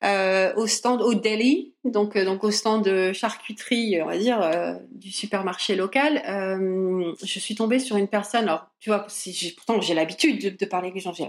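A woman speaks fairly slowly at a medium pitch, with ordinary pitch variation. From northern France, Lille. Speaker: language enthusiast. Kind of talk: casual interview. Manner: halting, many fillers.

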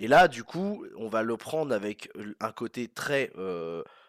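The recording is very clean and the background silent. A man talks at a medium pitch. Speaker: film review podcaster. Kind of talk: casual spoken review monologue. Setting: walking home outdoors after cinema. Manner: hesitant with many fillers.

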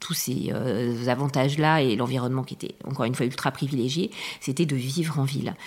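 A woman talks at a fairly quick pace. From France, Charente-Maritime (southwest). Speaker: interviewee sharing family story. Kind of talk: personal testimony. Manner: hesitant, many fillers.

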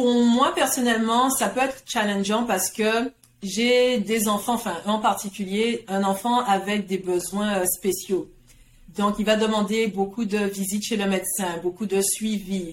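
A woman speaks in an ordinary speaking voice at a medium pitch. Her pace is fairly slow, with fairly even intonation. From Guadeloupe. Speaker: career coach. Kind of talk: interview.

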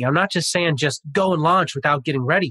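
With an American accent, a man speaks in a bright, sharp tone with a dry, close sound and no echo. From Pasadena, California. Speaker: motivational speaker and author. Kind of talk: interview. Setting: office.

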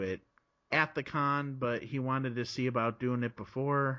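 A man talks at a moderate pace with an American accent. His medium-pitched voice is an ordinary speaking voice. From Chicago area, US Midwest. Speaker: podcaster. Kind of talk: casual interview chat.

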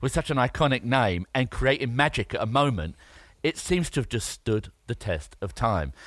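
Vocal fry runs through a man's medium-pitched voice, which swings very widely in pitch at a moderate pace. The recording is very clean and the background silent. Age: 40s. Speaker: entrepreneur and podcast co-host. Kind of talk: casual chat.

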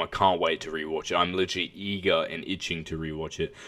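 A bright, sharp tone with an Australian accent, very fast and flatly monotone. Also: man. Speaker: podcast co-host, film reviewer. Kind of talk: casual chat.

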